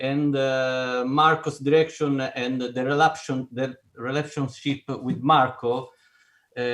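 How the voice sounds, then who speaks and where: A man's medium-pitched voice with an Italian accent, flat and monotone, at a very slow pace. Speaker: film composer. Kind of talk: panel discussion. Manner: halting, searching for words.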